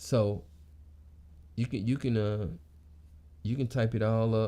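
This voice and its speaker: A man speaks at a medium pitch with ordinary pitch variation. His tone is dark and mellow, and his loudness stays very even. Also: fairly slow pace. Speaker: motivational vlogger. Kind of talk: casual monologue. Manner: halting, repeats words.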